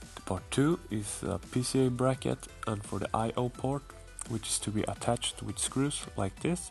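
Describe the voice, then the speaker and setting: Music in the background behind a man at a medium pitch, with ordinary pitch variation and a moderate pace. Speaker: PC case modder. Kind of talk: casual tutorial talk to camera.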